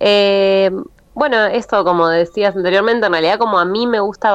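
A woman speaks in an ordinary speaking voice. Her pace is moderate and her pitch variation ordinary. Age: 30s. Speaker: DJ. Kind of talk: interview.

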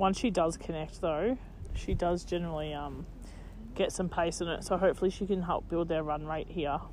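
This woman has an Australian accent, a fairly low pitch and audible vocal fry. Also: moderate pace. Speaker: cricket commentator podcast host. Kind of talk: sports commentary, relaxed and informative. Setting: outdoors at a cricket ground. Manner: upbeat, knowledgeable, jokey.

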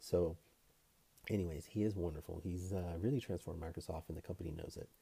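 A man's very deep, low voice, dark and mellow in tone, somewhat breathy, with fairly even intonation. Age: young. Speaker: personal finance youtuber, healthcare professional. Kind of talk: casual vlog commentary.

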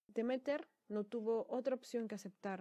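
A woman's dark, mellow tone carries fairly even intonation at a fairly slow pace. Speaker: podcast host on mythology. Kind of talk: solo storytelling podcast. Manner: casual, with fillers and repetitions.

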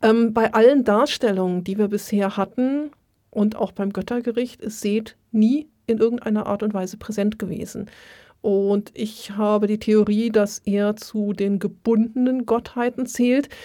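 A woman's fairly high-pitched, fairly slow voice, a normal speaking voice. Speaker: Egyptologist and museum worker. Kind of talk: casual chat.

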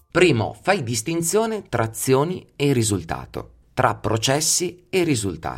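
A man with vocal fry swings his pitch very widely on a very clean recording with a silent background. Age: 40s. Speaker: psychology podcast host. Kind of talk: solo podcast monologue.

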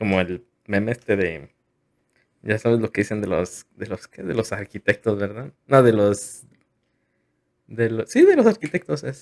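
A man talks at a fairly slow pace and fairly low pitch, with ordinary pitch variation and long, frequent pauses. His loudness swings a lot, and the sound is dry and close with no echo. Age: 20s. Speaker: podcast host. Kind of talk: casual chat.

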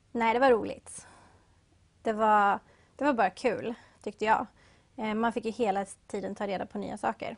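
Over a quiet background, a woman with a fairly high pitch and vocal fry talks at a moderate pace with fairly even intonation and long, frequent pauses. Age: young. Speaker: café and bakery owner. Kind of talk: interview.

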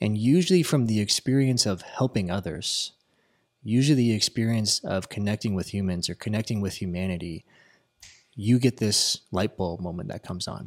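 Male speaker at a moderate pace, ordinary pitch variation, dry, close sound with no echo, very clean recording with a silent background. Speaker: podcast host and real estate agent. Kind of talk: casual chat. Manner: animated.

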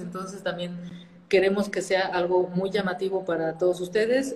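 Noticeable background noise surrounds a woman speaking at a moderate pace. Her pitch is medium and her intonation fairly even. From northern Mexico, Saltillo, Coahuila. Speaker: nonprofit founder. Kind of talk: interview.

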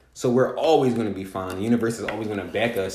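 A man with an American accent talks at a very fast pace with ordinary pitch variation. Audible room echo and noticeable background noise surround him. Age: 20s. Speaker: podcast host. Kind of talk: casual chat.

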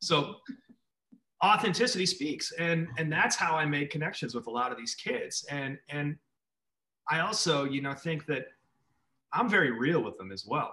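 A man with an American accent and a fairly high pitch, lively intonation, a moderate pace, and long, frequent pauses. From Minneapolis, US Midwest. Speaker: artist and school speaker. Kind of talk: interview.

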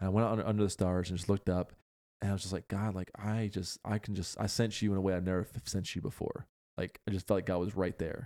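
In an American accent, the voice has a dark, mellow tone and monotone, flat intonation, delivered at a very fast pace in a dry, close sound with no echo on a very clean recording with a silent background. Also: man, fairly low pitch for a man. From Pennsylvania. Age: 30s. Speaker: podcast host. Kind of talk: casual chat.

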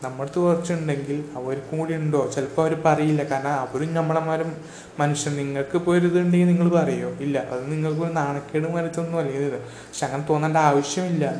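With audible room echo and noticeable background noise, a man speaks in a flat monotone at a fairly high pitch. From Kerala. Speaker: podcaster. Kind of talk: solo opinion monologue. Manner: halting.

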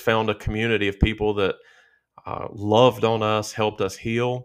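A man with a Southern US accent speaks at a fairly low pitch on a very clean recording with a silent background. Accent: Southern country. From southern Virginia. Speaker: pastor. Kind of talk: casual chat.

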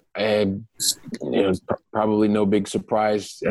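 Delivered at a moderate pace in a flat monotone, the voice sounds dry and close with no echo. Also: man. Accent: Midwestern American. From Ohio, US Midwest. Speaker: real estate investor. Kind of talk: interview.

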